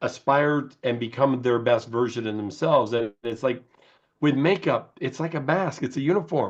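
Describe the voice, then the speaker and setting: Pitched fairly high, a man's plain, everyday voice moves with ordinary pitch variation. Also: quiet background. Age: 60s. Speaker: beauty company founder. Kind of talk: interview.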